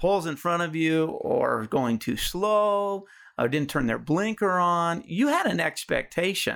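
A man speaks with an American accent at a fairly slow pace. His pitch is high. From Colorado, US. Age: 50s. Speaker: life coach. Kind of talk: interview.

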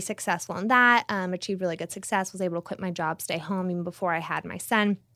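On a very clean recording with a silent background, a woman talks at a very fast pace in an American accent. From California. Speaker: realtor. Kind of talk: casual interview.

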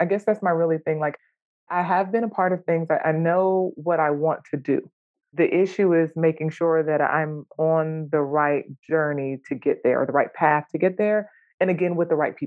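In an American accent, a woman with a fairly low voice speaks at a moderate pace, with fairly even intonation and very even loudness. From US South, Jacksonville, North Carolina. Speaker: clinical social worker and therapist. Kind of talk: coaching session conversation.

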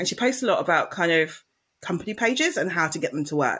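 Someone with an English accent talks at a very fast clip. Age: 40s. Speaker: marketing podcaster. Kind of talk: casual chat.

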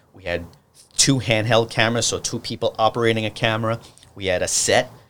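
A man speaks with a New York accent. His pitch is fairly low and his pace fairly quick. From New York City (Brooklyn, Staten Island). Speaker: TV producer and director. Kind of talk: casual chat.

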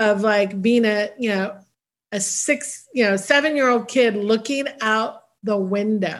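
With an American accent, a woman talks at a moderate pace in a plain, everyday voice, fairly high in pitch with ordinary pitch variation. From US West Coast, San Francisco Bay Area. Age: 50s. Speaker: costume designer. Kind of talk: casual interview.

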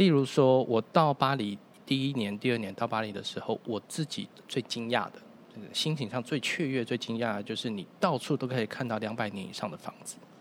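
A man speaks fairly quickly in a normal speaking voice. His pitch sits mid-range and moves with ordinary variation. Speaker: saxophonist, musician. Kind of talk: casual chat.

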